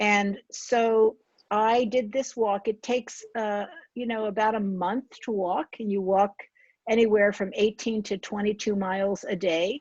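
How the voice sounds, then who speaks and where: A woman's plain, everyday voice with an American accent, fairly high in pitch, at a fairly slow pace with fairly even intonation, in a dry, close sound with no echo against a quiet background. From New Jersey, Somerset County. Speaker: author. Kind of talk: author talk.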